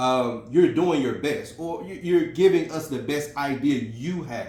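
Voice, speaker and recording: A man with an American accent talks at a fairly slow pace in a somewhat breathy voice. Audible room echo surrounds him. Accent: Memphis Southern, comes out when emotional. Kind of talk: casual video message, motivational talk. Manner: conversational, many fillers.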